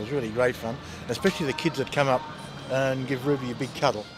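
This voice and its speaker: Over music in the background, a man with an Australian accent talks at medium pitch and a very fast pace. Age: 60s. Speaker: street magazine vendor. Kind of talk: documentary interview. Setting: outdoors in a shopping mall. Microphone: poor sound quality, audio skips.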